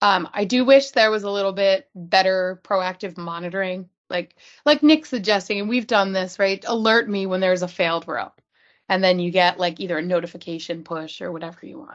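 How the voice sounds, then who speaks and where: Over a quiet background, a woman speaks at a fairly quick pace and medium pitch, with ordinary pitch variation and big swings in loudness. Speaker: user group presenter; presenter. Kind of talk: technical presentation. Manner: fast. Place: home room. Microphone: video call.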